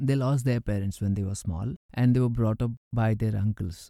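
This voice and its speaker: Captured in a very clean recording with a silent background, a man speaks in a dark, mellow tone. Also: dry, close sound with no echo. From India, Karnataka. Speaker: memoir narrator. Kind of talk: reading aloud.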